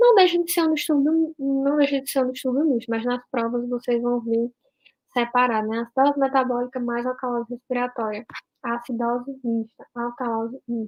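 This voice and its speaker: Fairly even intonation and a moderate speed from a woman with a high voice. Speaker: doctor teaching a class. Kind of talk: online lecture.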